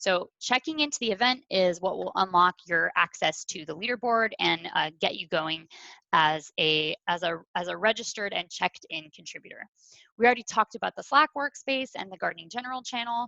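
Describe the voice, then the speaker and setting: A woman at a fairly quick pace, bright, sharp tone, medium pitch with very wide swings, big swings in loudness, and a dry, close sound with no echo against a quiet background. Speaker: community event organizer. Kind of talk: online orientation presentation. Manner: fast.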